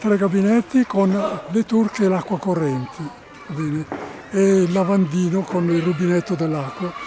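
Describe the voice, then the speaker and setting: With music in the background, a man speaks at a moderate pace and high pitch, with ordinary pitch variation and long, frequent pauses. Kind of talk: interview answer.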